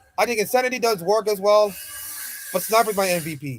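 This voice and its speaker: Mumbling at a very fast pace, a man speaks at a high pitch in an animated tone with lively intonation. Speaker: streamer casting esports VOD review. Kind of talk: live commentary.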